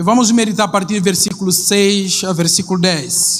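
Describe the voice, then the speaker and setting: Fairly even intonation from a man, moderately paced. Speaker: missionary pastor. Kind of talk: sermon. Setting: church. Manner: halting.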